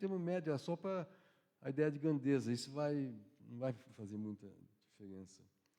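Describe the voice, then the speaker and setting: A man's medium-pitched voice, dark and mellow in tone, with very wide pitch swings. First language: Yiddish (speaking Portuguese). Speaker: professor. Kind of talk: lecture. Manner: halting, with many restarts.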